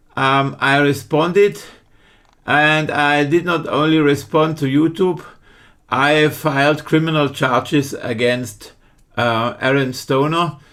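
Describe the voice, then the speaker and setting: At a very slow pace, a man with a German accent talks in a fairly high pitch, his intonation fairly even and his loudness very even. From Germany. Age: 50s. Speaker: online true crime commentator. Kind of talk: casual video commentary. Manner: halting, many fillers and restarts.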